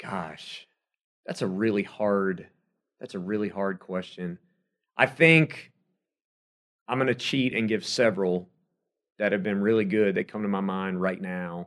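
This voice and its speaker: A man's fairly low, fairly slow speech with an American accent, ordinary pitch variation and long, frequent pauses over a quiet background. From South Carolina. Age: 30s. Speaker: sports radio host and play-by-play announcer. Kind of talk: casual interview chat.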